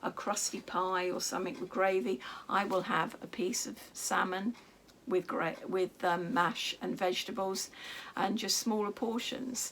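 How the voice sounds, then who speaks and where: A woman talks at a medium pitch and a moderate pace. Noticeable background noise is present. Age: 60s. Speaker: craft and lifestyle vlogger. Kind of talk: casual vlog monologue. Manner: hesitant, many fillers.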